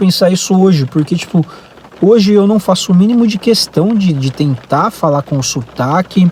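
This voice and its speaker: Amid noticeable background noise, a high-voiced man speaks at a moderate pace with lively intonation and very even loudness. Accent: Brazilian. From Brazil. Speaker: vlogger. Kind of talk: casual vlog monologue. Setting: in a car. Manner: hesitant, many fillers.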